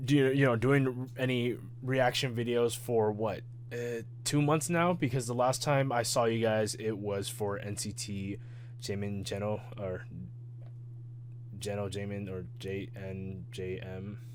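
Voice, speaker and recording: At a fairly slow pace, a man talks at a medium pitch with fairly even intonation, and audible room echo surrounds his voice. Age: 20s. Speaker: K-pop reaction youtuber. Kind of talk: reaction video chat. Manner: halting, stuttering; casual, filler-heavy.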